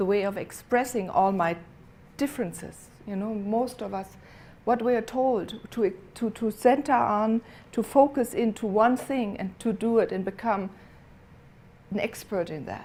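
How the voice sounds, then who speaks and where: A woman speaks with a non-native accent and a dark, mellow tone. Her pace is fairly slow, with ordinary pitch variation. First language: not English. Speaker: inspirational speaker. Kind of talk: inspirational speech. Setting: theater stage with audience. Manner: halting.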